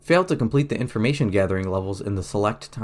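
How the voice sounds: It is a natural reading voice.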